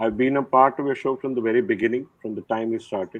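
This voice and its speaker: Talking at a very fast pace, a man keeps his intonation fairly even. His pitch sits in the medium range. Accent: Nepali. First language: Nepali. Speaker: retired army general. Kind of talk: interview.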